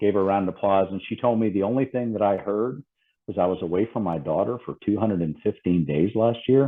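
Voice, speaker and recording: Talking very fast with an American accent, a man uses a fairly low pitch and ordinary pitch variation. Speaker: safety consultant. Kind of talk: podcast interview.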